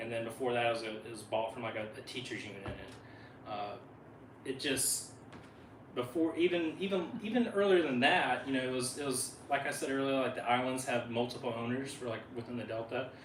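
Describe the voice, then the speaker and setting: With a Southern US accent, a man speaks at a medium pitch with ordinary pitch variation. The recording has audible room echo and noticeable background noise. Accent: Southern drawl. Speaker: wildlife biologist. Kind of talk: presentation talk. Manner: fast; halting, many fillers.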